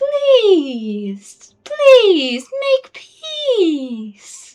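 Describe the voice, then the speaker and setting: A squeaky, extremely high put-on character voice with very wide pitch swings. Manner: pleading.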